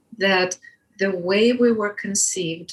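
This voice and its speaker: A woman with a Russian accent, medium pitch, ordinary pitch variation and a very slow pace. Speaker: birth educator. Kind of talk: interview.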